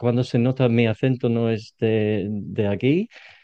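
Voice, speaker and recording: A man talks at a fairly slow pace with a British accent. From Britain. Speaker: podcast host and English coach. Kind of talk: interview conversation. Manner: halting, repeats words.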